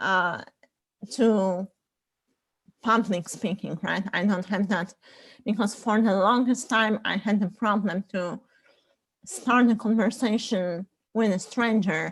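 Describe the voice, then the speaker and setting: A woman with a non-native accent speaks at a very slow pace, with long, frequent pauses. Her pitch is medium, and the recording is very clean with a silent background. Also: fairly even intonation. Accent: foreign. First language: not English. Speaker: panelist. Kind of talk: casual panel discussion. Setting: group call.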